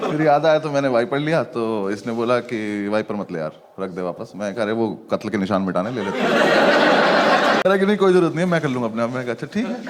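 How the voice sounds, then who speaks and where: Over noticeable background noise, the speaker's pitch swings very widely, with hardly any pauses. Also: man, medium pitch for a man. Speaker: stand-up comedian. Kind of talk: stand-up comedy storytelling.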